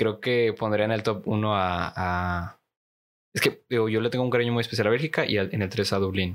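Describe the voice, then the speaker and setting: The speaker, with a Mexican accent, keeps a fairly even intonation and very even loudness in a very clean recording with a silent background. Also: man, fairly low pitch for a man, moderate pace. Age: 20s. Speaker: conversation club teacher. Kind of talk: casual chat.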